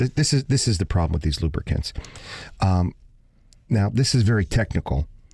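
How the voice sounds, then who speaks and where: A man with an American accent speaks at a fairly quick pace in a fairly low, somewhat breathy voice with a dark, mellow tone and very wide pitch swings. His loudness stays very even, broken by long, frequent pauses. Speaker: radio host. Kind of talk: casual chat.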